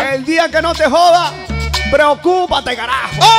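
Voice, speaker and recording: A man talks at a moderate pace. Loud music plays in the background. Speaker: radio-style humor host. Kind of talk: comedic radio monologue. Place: studio. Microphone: studio mic.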